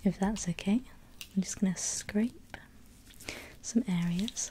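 A soft-spoken woman talks at a very slow pace in a gentle tone, with noticeable background noise behind her. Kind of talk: soft-spoken roleplay. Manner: soft, gentle ASMR dentist voice. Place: home room.

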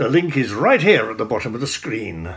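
His pitch swings very widely as the man talks. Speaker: political commentator. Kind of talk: commentary. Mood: critical, sardonic.

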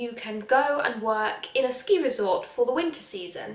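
Moderately paced female speech in audible room echo. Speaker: vlogger. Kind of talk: casual vlog chat. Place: home room. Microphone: phone near.

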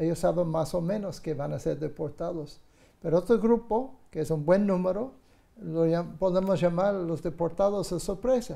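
Over a quiet background, a man talks at a moderate pace with a high pitch, a dark, mellow tone, and ordinary pitch variation. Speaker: guest. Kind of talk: interview answer. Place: studio. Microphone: lapel.

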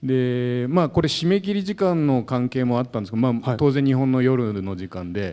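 A man's dark, mellow voice at medium pitch, with very wide pitch swings and hardly any pauses. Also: moderate pace, quiet background. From Japan. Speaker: sports journalist. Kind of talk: talk show panel. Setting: stage with audience. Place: hall. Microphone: handheld.

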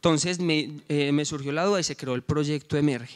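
A man's fairly high voice at a moderate pace, quiet background. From Colombia, coffee region. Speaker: social entrepreneur, former rural teacher; presenter. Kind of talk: project presentation. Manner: halting, with filler sounds. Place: hall. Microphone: handheld.

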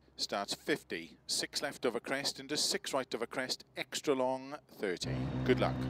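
A bright, sharp tone with vocal fry and lively intonation comes at a fairly slow pace in a dry, close sound with no echo. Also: man, medium pitch for a man. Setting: video game.

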